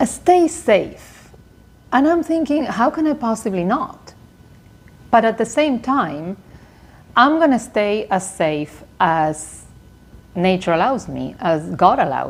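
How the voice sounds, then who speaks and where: A woman's fairly high voice at a very slow pace, with very wide pitch swings and long, frequent pauses. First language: not English. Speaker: lifestyle vlogger. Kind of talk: casual vlog monologue.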